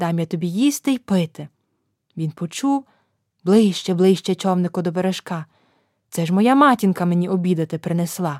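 A woman talks at a moderate pace and medium pitch, with lively intonation and long, frequent pauses. The sound is dry and close with no echo, on a very clean recording with a silent background. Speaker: storyteller. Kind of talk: folk tale storytelling, scripted reading aloud for children. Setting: studio. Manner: animated, expressive storytelling with gentle, sing-song rhythm.

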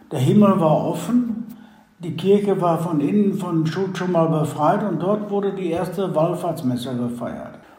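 A man with a high pitch speaks at a fairly slow pace. Room echo is audible. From Westphalia, Germany. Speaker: reconciliation volunteer, son of expellee. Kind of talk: interview.

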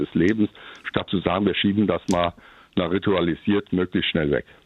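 The man's pitch sits fairly low. He speaks very fast. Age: old. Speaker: retired pastor. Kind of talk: personal testimony.

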